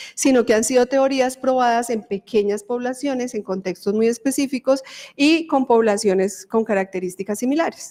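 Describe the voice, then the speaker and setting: Fairly high in pitch, a woman speaks at a moderate pace with ordinary pitch variation. It is a plain, everyday voice. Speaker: university professor and dentist researcher. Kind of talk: lecture.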